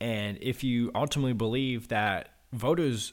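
A man with an American accent speaks in a plain, everyday voice at medium pitch, his intonation fairly even. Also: very clean recording, silent background. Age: 20s. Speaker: state politician. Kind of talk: interview.

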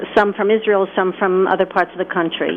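Noticeable background noise runs behind a woman's speech. She talks at a fairly quick pace in a medium pitch. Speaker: caller. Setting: phone call.

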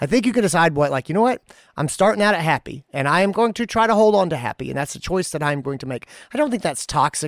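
With lively intonation, a man talks at a very fast pace in a dry, close sound with no echo, on a very clean recording with a silent background. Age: 40s. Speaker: veterinarian podcast host. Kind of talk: casual chat.

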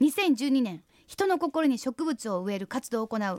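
A woman speaks at a high pitch with very wide pitch swings and a moderate pace. The recording is very clean and dry, close up with no echo and a silent background. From Hyogo, Japan (Nishinomiya). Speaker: radio host. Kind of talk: radio interview.

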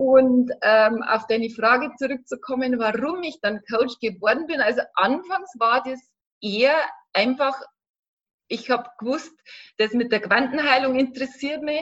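With a high pitch and ordinary pitch variation, a woman speaks at a fairly slow pace. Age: 40s. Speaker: life coach. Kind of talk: interview.

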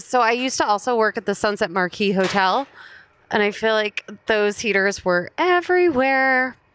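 At a moderate pace, a woman with an American accent speaks in an ordinary speaking voice at very even loudness. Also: fairly high pitch for a woman, lively intonation. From New Jersey, US (Princeton Junction). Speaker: stand-up comedian. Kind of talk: casual chat.

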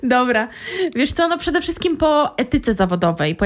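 Very wide pitch swings mark a woman's speech at a moderate pace. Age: 20s. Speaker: career coach. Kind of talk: casual chat.

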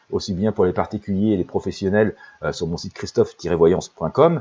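Very deep and low in pitch, a man's voice has a dark, mellow tone and moves at a fairly quick pace. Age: 50s. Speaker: intuitive life coach and psychic. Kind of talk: promotional monologue. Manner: halting, many fillers.

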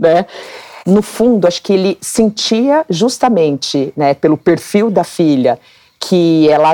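A woman with an ordinary speaking voice, fairly low-pitched, with ordinary pitch variation, in a dry, close sound with no echo. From Brazil, Mato Grosso (Cuiabá). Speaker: dermatologist and former competitive swimmer. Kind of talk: interview conversation.

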